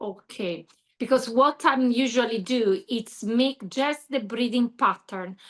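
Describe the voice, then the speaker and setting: A woman with an Italian accent speaks in a high voice with ordinary pitch variation. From Italy. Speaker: yoga teacher. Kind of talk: Q&A in online training call. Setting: video call. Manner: halting.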